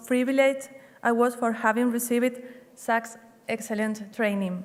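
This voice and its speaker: A woman's fairly high-pitched voice in a Spanish accent, with monotone, flat intonation. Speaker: hotel general manager. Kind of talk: graduation speech. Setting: stage with audience.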